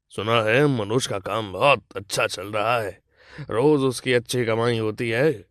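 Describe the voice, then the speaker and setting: Using a put-on character voice, a man speaks with a raspy, medium-pitched tone at a fairly slow pace and fairly even intonation, in a very clean recording with a silent background. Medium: cartoon. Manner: arrogant, threatening.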